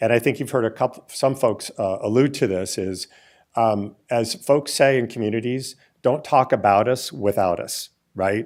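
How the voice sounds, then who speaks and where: A man's medium-pitched voice moves at a moderate pace with ordinary pitch variation. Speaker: gun violence prevention fund leader. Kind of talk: panel presentation. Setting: stage with audience. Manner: halting.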